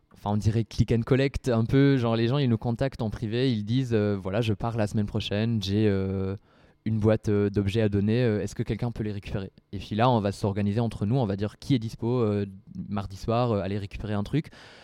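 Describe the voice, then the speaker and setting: A man talks with a fairly low pitch at a fairly quick pace. His intonation stays fairly even. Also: quiet background. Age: 20s. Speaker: student association president. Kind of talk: casual interview talk. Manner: halting.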